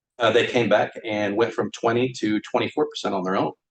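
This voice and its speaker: Dry and close with no echo, a man with an American accent speaks at a medium pitch, with fairly even intonation and a fairly quick pace. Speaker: firefighter pension fund representative. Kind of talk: public testimony. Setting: public board meeting. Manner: fast.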